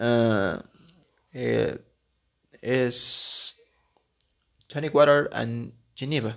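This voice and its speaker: A man of medium pitch talks at a very slow pace with fairly even intonation and long, frequent pauses. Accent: Mexican. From Mexico. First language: Spanish. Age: 20s. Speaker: podcaster, gastronomy student. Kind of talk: casual monologue podcast. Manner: halting.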